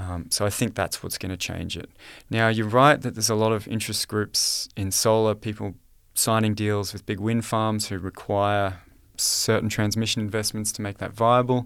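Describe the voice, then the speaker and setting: A man with an Australian accent speaks at a moderate pace in a fairly low, monotone, flat voice on a very clean recording with a silent background. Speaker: economist and author. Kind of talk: interview.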